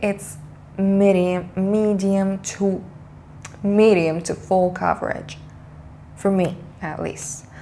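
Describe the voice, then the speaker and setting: A woman with a non-native accent speaks at a medium pitch and a very slow pace. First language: not English. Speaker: beauty youtuber. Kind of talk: makeup tutorial. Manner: hesitant, many fillers.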